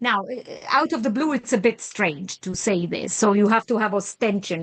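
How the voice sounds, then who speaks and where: Against a quiet background, a woman with an Italian accent talks at a fairly quick pace in a medium pitch. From Italy. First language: Italo-Romance language of Italy. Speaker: professor. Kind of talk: lecture.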